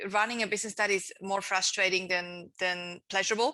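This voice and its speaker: With a Swiss accent, a woman talks in a bright, sharp tone at medium pitch, keeping a moderate pace and fairly even intonation. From Switzerland. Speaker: entrepreneur and author. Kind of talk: interview.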